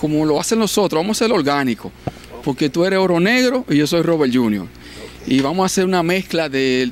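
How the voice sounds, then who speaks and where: With lively intonation at a moderate pace, a man speaks in a dry sound with no echo over light background noise. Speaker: TV show host. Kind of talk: show host introduction. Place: studio. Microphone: handheld.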